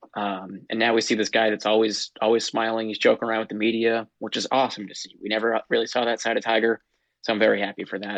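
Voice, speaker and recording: Very fast pace and monotone, flat intonation, with a dry, close sound and no echo. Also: man, medium pitch for a man. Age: 20s. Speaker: golf podcast host. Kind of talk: casual chat.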